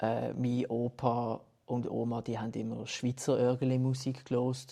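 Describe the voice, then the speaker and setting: With a Basel accent, a man speaks at a fairly slow pace in a dark, mellow tone. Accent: Basel Swiss German dialect. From Basel, Switzerland. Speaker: musician. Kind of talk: casual interview.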